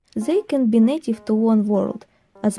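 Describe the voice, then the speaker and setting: With music in the background, a woman with a non-native accent speaks at a fairly slow pace, her fairly high pitch showing ordinary variation. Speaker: hobby artist and worldbuilder. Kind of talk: casual explanatory narration.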